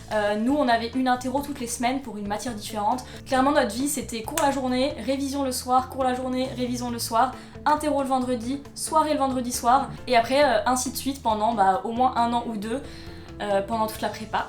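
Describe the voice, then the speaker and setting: Over noticeable background noise and audible room echo, a woman talks at a fairly quick pace in a high pitch with fairly even intonation. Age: 20s. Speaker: YouTuber, interior design student. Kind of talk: casual vlog talk to camera.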